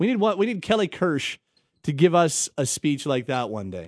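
A man at a moderate pace, his pitch swinging very widely, with a dry, close sound, no echo and a quiet background. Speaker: sports radio host. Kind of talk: sports talk radio. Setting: studio.

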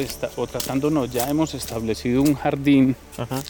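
A man with a Colombian paisa accent speaks at medium pitch and a moderate pace, his intonation fairly even over noticeable background noise. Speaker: farm manager. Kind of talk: casual interview.

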